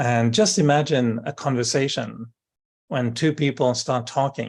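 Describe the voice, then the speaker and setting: In a French accent, a man with a medium-pitched voice speaks with ordinary pitch variation over a quiet background. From France, Brittany. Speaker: spiritual speaker. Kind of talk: interview. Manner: hesitant, with fillers.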